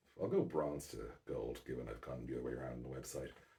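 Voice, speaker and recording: Soft-spoken and with vocal fry, a man talks at a very fast pace. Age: 40s. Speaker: basketball podcaster. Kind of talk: casual monologue. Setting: at home at night.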